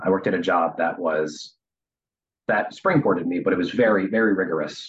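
This man has a plain, everyday voice with an American accent and fairly low pitch. He talks at a fairly quick pace. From Harrisburg, Pennsylvania. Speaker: nonprofit finance worker. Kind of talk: casual interview.

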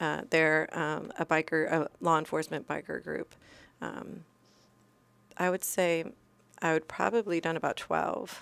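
A woman with a very deep, low pitch and vocal fry speaks at a fairly slow pace with ordinary pitch variation and long, frequent pauses. The recording is very clean, with a silent background. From moved around as military child; California, Iceland, then Virginia. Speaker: former police officer, crash survivor. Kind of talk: interview, personal story.

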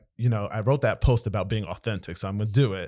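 Medium-pitched man with an American accent and ordinary pitch variation, on a very clean recording with a silent background. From Maryland, US. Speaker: former school principal. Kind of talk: casual interview chat.

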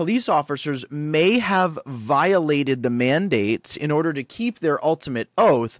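Lively intonation marks this man's speech at a moderate pace. The sound is dry and close with no echo, a very clean recording with a silent background. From Canada, Guelph. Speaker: activist guest. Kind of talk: casual chat. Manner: halting, repeats words.

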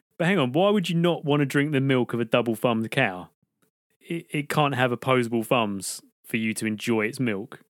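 At a fairly quick pace, a man with a British accent speaks in a medium pitch with lively intonation. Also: dry, close sound with no echo. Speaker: podcast co-host. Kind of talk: casual comedy chat.

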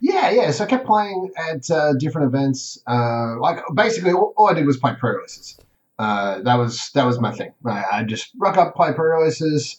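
This man speaks with an Australian accent. His pitch swings very widely. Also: fairly high pitch for a man, moderate pace. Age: 30s. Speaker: competitive card game player. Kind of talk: casual interview.

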